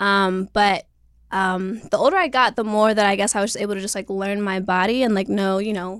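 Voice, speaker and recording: A plain, everyday voice from a woman with an American accent, medium in pitch, on a very clean recording with a silent background. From US, Florida and Maryland. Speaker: filmmaker. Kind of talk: casual chat. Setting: studio.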